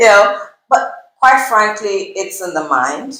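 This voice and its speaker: A woman speaks at a very slow pace with lively intonation. Audible room echo surrounds her voice. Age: 50s. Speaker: nutritionist. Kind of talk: interview.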